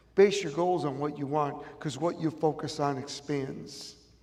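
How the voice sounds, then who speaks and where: A man with a Chicago accent speaks at a fairly slow pace. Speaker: motivational speaker. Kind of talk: motivational speech. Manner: animated.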